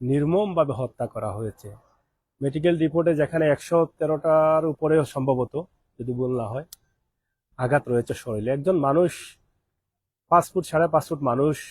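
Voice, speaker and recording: A man speaks with a fairly high pitch and a somewhat breathy voice. His pitch varies in an ordinary way, and the sound is dry and close, with no echo. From Bangladesh. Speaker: expatriate vlogger. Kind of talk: live stream monologue.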